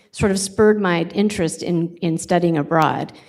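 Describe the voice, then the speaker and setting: This woman has a West Coast accent and a fairly low pitch. She talks at a fairly slow pace with fairly even intonation. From California (Sacramento). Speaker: college president. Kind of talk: job interview presentation. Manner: hesitant, many fillers.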